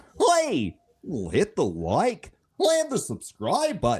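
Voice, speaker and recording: A man's put-on character voice, extremely high-pitched and very slow. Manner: goofy.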